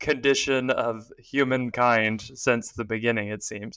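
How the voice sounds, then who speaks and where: Flat, monotone intonation marks a man speaking with an American accent at medium pitch. His tone is bright and sharp, and his pace fairly slow. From Texas. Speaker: financial planner and podcast co-host. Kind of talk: casual chat. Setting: remote recording from an office.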